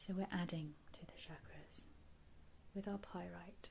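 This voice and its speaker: Here a woman talks at a fairly slow pace. Her tone is gentle. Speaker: reiki and ASMR guide. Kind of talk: guided meditation / healing session. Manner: soft, gentle, calming.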